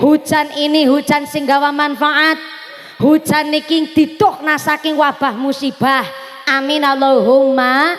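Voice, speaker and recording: Against noticeable background noise, a woman with a high voice speaks at a fairly slow pace in a monotone, flat way. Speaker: female Islamic preacher. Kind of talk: religious sermon. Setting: outdoor gathering in rain with PA system. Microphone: echo removed from PA on request.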